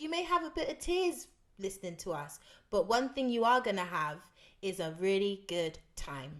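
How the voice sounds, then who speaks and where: The woman's pitch swings very widely. She talks at a moderate speed. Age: 20s. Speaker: podcast host. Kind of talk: casual chat.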